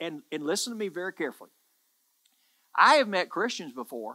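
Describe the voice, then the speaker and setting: A man's high-pitched, raised, projected voice with a bright, sharp tone, lively intonation and a moderate pace, over a quiet background. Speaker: pastor, church preacher. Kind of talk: sermon, preaching to camera. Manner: emphatic, earnest, repeating words for emphasis. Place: studio. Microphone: headset.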